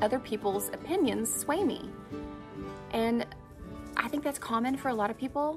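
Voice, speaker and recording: Clear music plays in the background. A woman speaks at a fairly quick pace with ordinary pitch variation. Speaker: faith show host. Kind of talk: personal devotional talk. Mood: earnest, reflective. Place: open country.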